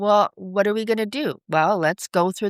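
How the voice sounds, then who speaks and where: A woman with a Canadian accent speaks in a plain, everyday voice at medium pitch with ordinary pitch variation. The recording is very clean, with a silent background and a dry, close sound with no echo. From Vancouver, Canada. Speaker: financial advisor. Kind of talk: interview.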